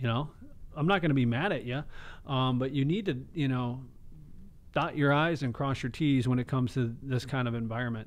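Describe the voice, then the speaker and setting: This man talks rather briskly, his pitch shifting in a normal way. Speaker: financial advisor; radio show financial host. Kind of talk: radio show. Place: studio. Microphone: close to the mic; studio mic.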